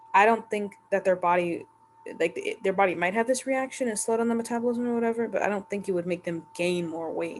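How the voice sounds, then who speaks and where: A woman speaks very fast at a medium pitch, with ordinary pitch variation. Noticeable background noise runs underneath. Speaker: YouTuber reacting to Reddit posts. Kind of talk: casual commentary monologue. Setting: home recording late at night. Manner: halting, stuttering.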